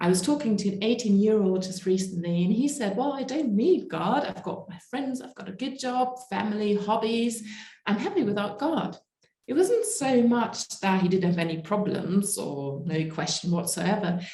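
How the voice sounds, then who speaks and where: This woman's voice has a dark, mellow tone and is somewhat breathy, with big swings in loudness. Audible room echo surrounds her. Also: medium pitch for a woman, lively intonation, moderate pace. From Germany. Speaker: evangelist and speaker. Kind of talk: conference talk.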